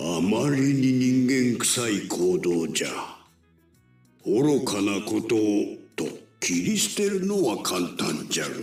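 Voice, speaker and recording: Over faint music in the background and a slight echo, a man uses a put-on character voice at medium pitch, going at a fairly slow pace with long, frequent pauses. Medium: video game. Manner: old-fashioned elderly speech.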